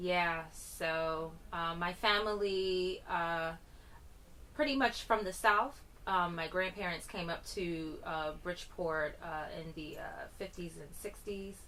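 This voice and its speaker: The tone is bright and sharp, with big swings in loudness and ordinary pitch variation. Delivery comes at a very slow pace, with audible room echo. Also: woman, fairly low pitch for a woman. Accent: US Northeastern. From Connecticut, US. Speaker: musician. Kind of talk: radio interview.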